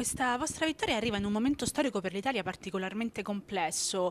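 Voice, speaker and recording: A woman's normal speaking voice, medium in pitch with ordinary pitch variation. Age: 30s. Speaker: interviewer. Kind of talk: interview. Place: hall.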